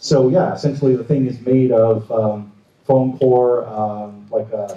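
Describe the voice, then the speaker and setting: A man mumbles at a fairly slow pace with fairly even intonation. His medium-pitched voice sits in audible room echo. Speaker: prop maker. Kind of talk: convention panel talk. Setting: stage with audience. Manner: mumbling.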